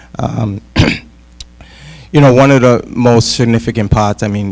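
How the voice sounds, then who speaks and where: Speaking in a New England accent, a man keeps a moderate pace. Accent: New England American. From Worcester, Massachusetts, US. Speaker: school committee candidate, social worker. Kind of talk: candidate forum speech.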